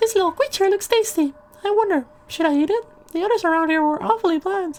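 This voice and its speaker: A put-on character voice races along at a very fast pace with an extremely high pitch. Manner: ominous.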